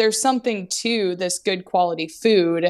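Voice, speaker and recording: With an American accent, a woman speaks at a moderate pace in an unremarkable speaking voice. Her pitch is fairly low and her intonation fairly even. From Alaska. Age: 30s. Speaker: food company founder. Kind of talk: interview. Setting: remote call.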